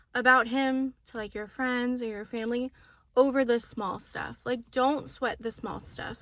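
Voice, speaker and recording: In a Southern Californian accent, a woman speaks at a high pitch with a bright, sharp tone. Her pace is fairly slow and her pitch variation ordinary. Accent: Valley girl. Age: 20s. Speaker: lifestyle vlogger. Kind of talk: casual advice monologue to camera. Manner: rambling, lots of filler words; casual, chatty.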